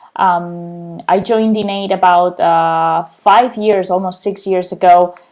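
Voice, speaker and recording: With a Spanish accent, a woman at medium pitch talks at a fairly slow pace in a monotone, flat intonation. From Spain, Barcelona. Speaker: client success manager, civil engineer. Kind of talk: career interview testimony. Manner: frequent fillers and hesitations.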